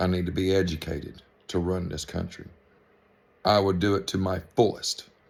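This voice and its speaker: Recorded very cleanly against a silent background, the speech moves at a fairly slow pace. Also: man. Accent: Georgia. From US South, middle western Georgia. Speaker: vlogger. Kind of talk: political rant to camera. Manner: animated.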